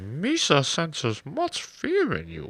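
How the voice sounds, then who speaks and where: A put-on character voice speaks at a fairly slow pace. The recording is very clean, with a silent background. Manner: silly, comical.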